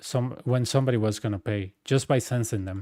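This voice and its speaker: With a Costa Rican accent, a man speaks at a fairly quick pace and medium pitch in a dark, mellow tone, captured in a very clean recording with a silent background and a dry, close sound with no echo. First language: Spanish. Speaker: gaming streamer. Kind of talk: casual chat. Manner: animated.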